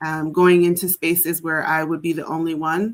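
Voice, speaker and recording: Her intonation monotone and flat, a woman speaks in a fairly low register. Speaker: alumna of a private boarding academy. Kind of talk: podcast interview. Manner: casual, filler-heavy.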